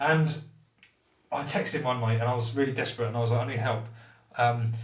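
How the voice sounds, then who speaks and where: Through audible room echo, a man talks at a very fast pace, medium in pitch and somewhat breathy. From southern England, Portsmouth. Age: 30s. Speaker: recovering addict. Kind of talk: casual chat. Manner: animated.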